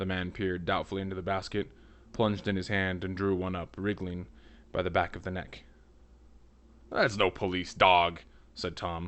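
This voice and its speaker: Speaking at a moderate pace with long, frequent pauses, a man keeps his very deep, low voice monotone and flat. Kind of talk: audiobook reading. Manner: reads dialogue with varied, inconsistent character accents.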